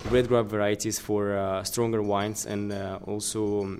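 Delivery comes at a very slow pace. Intonation stays fairly even. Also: man. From Moldova. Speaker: wine importer. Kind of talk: interview. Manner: halting.

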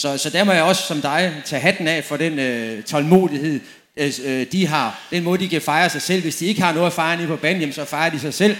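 A man with an unremarkable speaking voice talks at a fairly high pitch. His pace is moderate, and his pitch variation is ordinary. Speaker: former professional footballer. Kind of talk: panel discussion on stage. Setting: tent with live audience.

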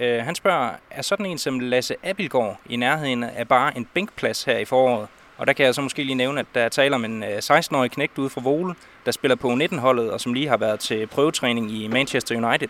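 Going at a fairly quick clip, an ordinary speaking voice shows ordinary pitch variation. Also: man. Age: young. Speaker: sports reporter. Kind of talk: interview. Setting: outdoors.

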